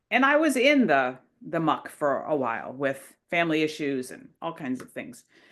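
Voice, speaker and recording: With vocal fry and very wide pitch swings, a woman speaks against a quiet background. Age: 60s. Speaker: interviewee, co-author and ballroom dancer. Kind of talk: casual interview.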